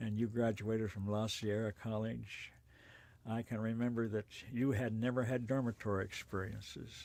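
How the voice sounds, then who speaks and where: This man has an American accent and a medium pitch. He talks at a moderate pace with monotone, flat intonation. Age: 80s+. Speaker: interviewee, elderly father. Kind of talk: oral history interview.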